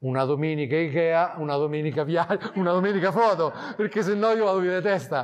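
A man's very fast delivery, high-pitched, with ordinary pitch variation. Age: 40s. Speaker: wildlife photographer; guest. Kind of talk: talk to a club audience. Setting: photo club evening with audience. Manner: casual, halting with fillers. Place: hall.

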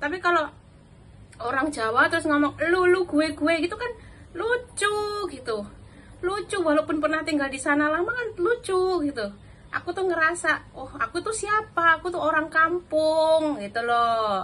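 A woman speaks in a raised, projected voice at an extremely high pitch. Her intonation is lively and her pace moderate. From Java, Indonesia. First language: Javanese (speaking Indonesian). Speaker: vlogger, domestic worker; vlogger. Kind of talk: casual vlog talk; casual vlog chat. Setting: at home. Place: kitchen. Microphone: phone near.

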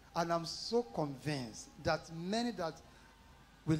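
There is light background noise. Speaking is a man. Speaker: pastor introducing guest speaker. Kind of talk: sermon. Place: church.

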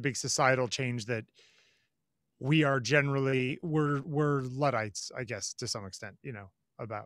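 A man with an American accent talks at a moderate pace, fairly high in pitch, with a bright, sharp tone and big swings in loudness. The background is quiet and the sound is dry with no echo. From US Northeast. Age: 40s. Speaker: photographer; podcast co-host. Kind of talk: casual chat. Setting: outdoors. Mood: reflective, relaxed. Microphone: video call.

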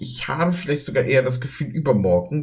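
A man speaks. His pace is moderate. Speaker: reaction streamer. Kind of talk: casual reaction commentary.

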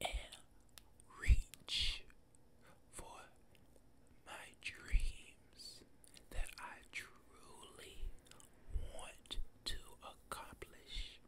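Whispering at a very slow pace, a man leaves long, frequent pauses. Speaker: ASMR creator. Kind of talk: ASMR whisper ramble, motivational talk to camera. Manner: whispered, soft-spoken. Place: home room. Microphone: studio mic.

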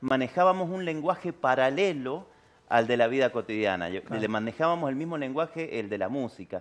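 Lively intonation marks a man's fairly high voice. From Argentina, San Juan; Argentina. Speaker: tango singer; interviewee. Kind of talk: interview. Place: studio.

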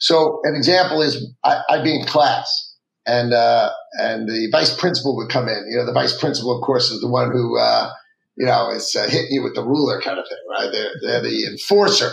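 Audible room echo surrounds a man as he talks at a moderate pace. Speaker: guest. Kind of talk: interview answer. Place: office.

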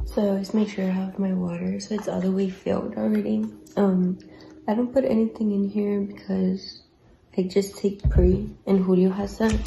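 Speech at a moderate pace, with light background noise. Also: woman. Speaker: vlogger. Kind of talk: casual vlog chat. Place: kitchen. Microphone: phone near.

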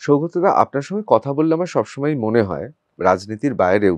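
The voice moves in very wide pitch swings. The sound is dry and close with no echo, over a quiet background. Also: man. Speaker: political talk show host and journalist. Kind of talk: interview.

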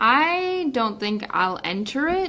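An American accent at a very slow pace, with noticeable background noise. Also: woman. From US South. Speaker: student radio co-host. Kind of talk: casual chat. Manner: animated.

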